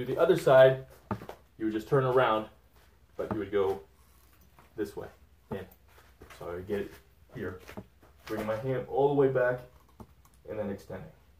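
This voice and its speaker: A man at a fairly quick pace, with light background noise and audible room echo. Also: ordinary pitch variation. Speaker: fitness coach. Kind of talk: tutorial. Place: gym. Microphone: camera far.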